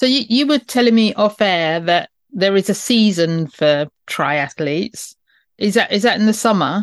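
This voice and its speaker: Speaking in a British accent, a woman with a medium-pitched voice talks at a moderate pace with lively intonation and very even loudness, the sound dry and close with no echo against a quiet background. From UK. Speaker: podcast host. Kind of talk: interview with scripted intro.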